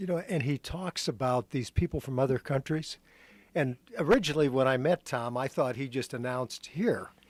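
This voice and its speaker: An ordinary speaking voice from a man, medium in pitch with ordinary pitch variation at a moderate pace, in a dry, close sound with no echo on a very clean recording with a silent background. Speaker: radio show host. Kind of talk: interview question, radio host talk.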